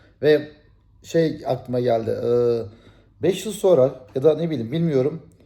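A man with a dark, mellow tone and a fairly high pitch speaks somewhat breathily at a fairly slow pace, with ordinary pitch variation. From Turkey. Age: 40s. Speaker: YouTuber. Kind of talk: casual vlog monologue.

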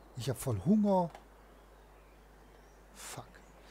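A man speaks at a very slow pace in a dark, mellow, somewhat breathy tone with very wide pitch swings. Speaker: gaming video host. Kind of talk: let's play commentary. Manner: casual.

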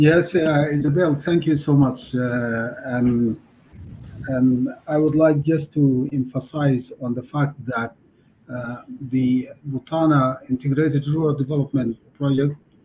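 At a very slow pace, a man speaks in a fairly high, somewhat breathy voice with a dark, mellow tone and fairly even intonation over light background noise. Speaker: country program officer. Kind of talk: work meeting. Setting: video call. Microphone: video call.

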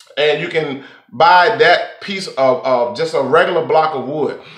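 A man speaks with a high pitch. The room echo is audible, though the background stays quiet. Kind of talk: tutorial.

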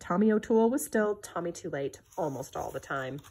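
A somewhat breathy woman's voice against a quiet background. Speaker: reader of a children's book. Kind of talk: reading aloud a 1950s children's picture book. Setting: home video recording, book shown to camera. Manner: measured, clear pacing suited to children. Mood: gentle storytelling tone. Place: home room. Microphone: phone near.

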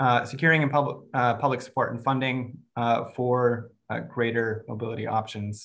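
A man speaks with vocal fry. His intonation stays fairly even. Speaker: forum host introducing guest. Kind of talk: meeting introduction. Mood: warm, light laughter. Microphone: video call.

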